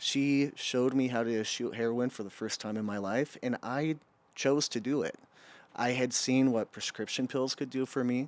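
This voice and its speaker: An unremarkable speaking voice belongs to a man with an American accent, talking at a moderate pace and medium pitch with fairly even intonation. The recording is very clean, with a silent background. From Utah. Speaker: addiction recovery worker. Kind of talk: podcast interview testimony.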